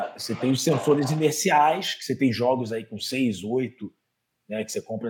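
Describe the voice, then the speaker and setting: A man with a Rio de Janeiro accent speaks at a moderate pace. His pitch varies in an ordinary way. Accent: carioca. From Rio de Janeiro, Méier. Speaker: physical education professional, master's student. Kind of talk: casual interview chat. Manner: animated, slangy.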